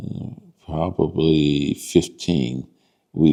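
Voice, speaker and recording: With an American accent and vocal fry, a man talks in a very deep, low voice with a dark, mellow tone and ordinary pitch variation. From southern Illinois (Cairo). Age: 70s. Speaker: police dispatcher, oral history interviewee. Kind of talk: oral history interview. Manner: halting, many fillers.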